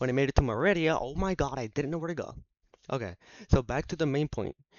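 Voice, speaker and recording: Very fast and animated, the delivery comes in a Spanish accent. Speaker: gaming YouTuber. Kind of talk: casual monologue. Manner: halting.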